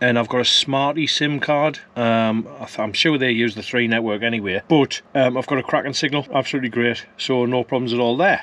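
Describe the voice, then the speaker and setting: Noticeable background noise sits behind a man talking at a fairly quick pace and a medium pitch. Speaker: travel vlogger. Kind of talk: casual vlog. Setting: in a campervan at a campsite.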